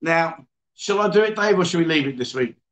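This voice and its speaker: A man with an English accent speaks in a fairly high pitch. His intonation is lively. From England. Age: 50s. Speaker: livestream host. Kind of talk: casual chat. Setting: bar. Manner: animated.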